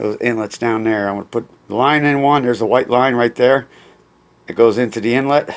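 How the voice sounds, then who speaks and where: At a fairly quick pace, a man with an ordinary speaking voice talks in a medium pitch with fairly even intonation. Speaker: amateur DIY mechanic. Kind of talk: DIY repair tutorial.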